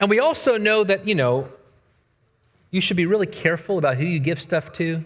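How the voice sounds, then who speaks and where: Speaking at a fairly quick pace with lively intonation, a high-pitched man leaves long, frequent pauses in a very clean recording with a silent background. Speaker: preacher. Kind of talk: sermon. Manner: conversational.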